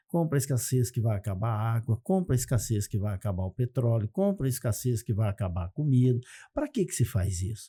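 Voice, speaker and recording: A man with a dark, mellow, somewhat breathy tone speaks at a fairly quick pace with lively intonation. The very clean recording has a silent background and a dry, close sound with no echo. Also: medium pitch for a man. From Brazil, Santa Catarina. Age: 60s. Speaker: economist and success methodologist. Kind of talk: podcast interview.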